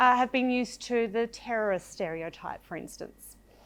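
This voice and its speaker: The recording is very clean, and the background is silent. Her pitch varies in an ordinary way as this woman talks at a moderate pace. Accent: Australian. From Australia (Victoria, Shepparton). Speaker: storyteller, broadcaster. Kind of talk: storytelling talk.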